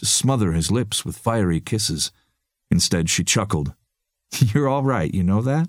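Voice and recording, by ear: Reading aloud in a natural voice, this speaker uses lively intonation against a quiet background.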